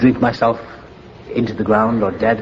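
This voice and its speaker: Over noticeable background noise, a man speaks with a Welsh accent. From Wales. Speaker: recovering alcoholic. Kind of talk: AA meeting speaker talk, personal story.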